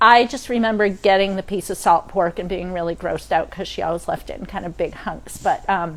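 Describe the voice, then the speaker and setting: Speaking at a fairly quick pace with hardly any pauses, a woman with a Maine accent uses a medium pitch and ordinary pitch variation. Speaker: cooking instructor. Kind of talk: cooking demo. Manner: casual, many fillers.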